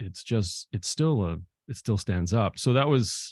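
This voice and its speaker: A man talks at a fairly low pitch, somewhat breathy, with ordinary pitch variation. The sound is dry and close with no echo, over a quiet background. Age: 60s. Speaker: filmmaker and novelist. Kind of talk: interview. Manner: halting.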